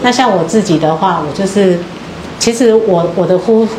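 Amid noticeable background noise, a woman speaks at medium pitch and a moderate pace with ordinary pitch variation. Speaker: student group reporter. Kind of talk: group sharing. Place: hall. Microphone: handheld.

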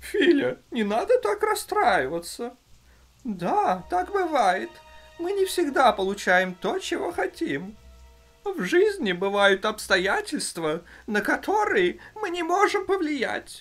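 A cartoonish character voice, high-pitched, moves through very wide pitch swings at a fairly slow pace. Faint music plays in the background. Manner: calm, patient, instructive.

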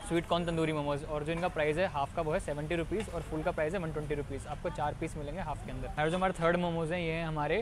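Flat, monotone delivery at a fairly quick pace, dry with no echo, over noticeable background noise. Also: man. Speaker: food vlogger. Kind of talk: casual vlog chat. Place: market.

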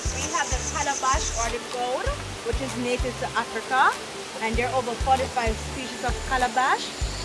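A woman keeps a moderate pace while clear music sounds in the background. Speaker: park tour guide. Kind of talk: guided tour explanation. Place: garden.

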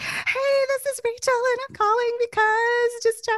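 A squeaky put-on character voice at an extremely high pitch, moderate in pace, with monotone, flat intonation. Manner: salesy, pitchy, off-putting.

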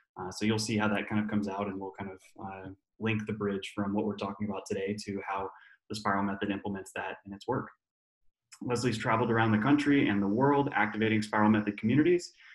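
A man talks very fast at a fairly low pitch, with fairly even intonation, audible room echo and a quiet background. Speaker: webinar host. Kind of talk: introduction of guests. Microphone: webcam.

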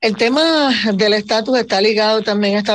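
A woman speaks in a plain, everyday voice, pitched fairly high, with ordinary pitch variation. Her pace is fairly quick, and there is light background noise. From Puerto Rico. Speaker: radio show host. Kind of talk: radio talk show moderation. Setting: radio studio broadcast. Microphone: video call.

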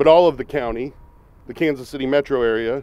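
At a moderate pace, a man speaks at medium pitch with a slightly mellow tone.

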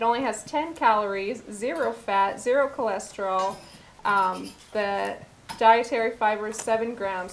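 At a moderate pace, a woman with an American accent and a normal speaking voice talks at a fairly high pitch. Her pitch varies in an ordinary way, with light background noise behind her. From US Northwest (Montana reservation). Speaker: cooking show host. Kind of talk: cooking demonstration. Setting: studio kitchen. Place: kitchen.

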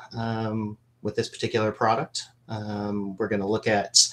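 At a moderate pace, a man with a fairly low pitch speaks in an unremarkable speaking voice. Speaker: business analyst. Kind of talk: webinar product demo. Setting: video call. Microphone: video call.

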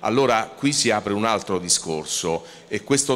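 A normal speaking voice moves at a fairly slow pace with lively intonation. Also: man. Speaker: trade association executive; panel moderator. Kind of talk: panel discussion. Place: hall. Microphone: handheld.

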